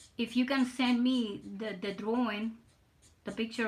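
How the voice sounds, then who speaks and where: This woman's voice is fairly high and somewhat breathy, delivered in a flat, monotone way. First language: Spanish. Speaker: artist streamer. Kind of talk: casual live stream chat while drawing. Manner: halting, repeats words.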